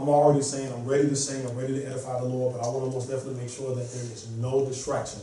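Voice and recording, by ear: Talking at a very fast pace, a man keeps a medium pitch with little pitch movement amid audible room echo.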